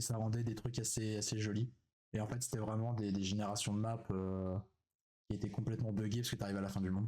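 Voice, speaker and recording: With a fairly low pitch, a man talks at a fairly quick pace in a monotone, flat tone and very even loudness. Long, frequent pauses break up his speech. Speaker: streamer. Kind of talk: live stream reaction chat. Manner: hesitant, many fillers.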